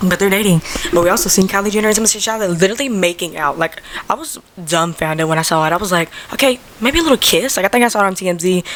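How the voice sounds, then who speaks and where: There is noticeable background noise behind this woman. She speaks very fast at a medium pitch, with ordinary pitch variation. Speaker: podcast host. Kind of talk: casual chat.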